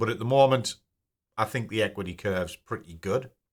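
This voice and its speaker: With a British accent, a man speaks with ordinary pitch variation. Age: 50s. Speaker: personal finance YouTuber. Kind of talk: casual screen-share tutorial. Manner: casual, conversational.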